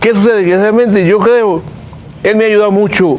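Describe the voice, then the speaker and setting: Over noticeable background noise and audible room echo, a man talks at a moderate pace with a high pitch and ordinary pitch variation. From Cuba. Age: 70s. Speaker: political dissident. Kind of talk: interview.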